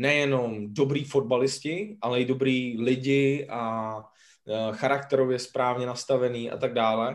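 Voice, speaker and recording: He is a man at medium pitch with fairly even intonation. His is an ordinary speaking voice. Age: 30s. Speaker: podcast co-host. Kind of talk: casual podcast interview.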